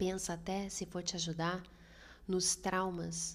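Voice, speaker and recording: A woman speaks at a fairly slow pace and fairly low pitch. Her voice is somewhat breathy, with monotone, flat intonation. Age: 30s. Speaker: podcast host. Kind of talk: solo podcast monologue.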